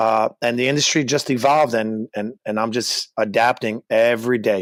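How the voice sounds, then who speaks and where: A man with a New York accent talks at a moderate pace and medium pitch, keeping his intonation fairly even. The recording is very clean, with a silent background and a dry, close sound with no echo. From Brooklyn, New York. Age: 30s. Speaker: gym owner and personal trainer. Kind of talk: interview.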